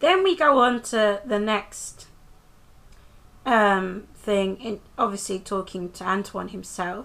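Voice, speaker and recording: Someone with a British accent speaks at a very slow pace in a bright, sharp tone. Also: woman. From UK. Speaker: TV review vlogger. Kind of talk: casual episode recap vlog. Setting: filmed close-up on camera at home. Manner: casual, hesitant with many fillers.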